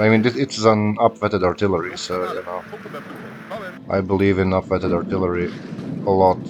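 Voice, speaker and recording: A man talks at a fairly quick pace in a fairly low, flat monotone. There are long, frequent pauses and noticeable background noise. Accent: non-native. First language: not English. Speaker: gaming YouTuber. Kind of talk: live gameplay commentary. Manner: casual, thinking aloud with fillers.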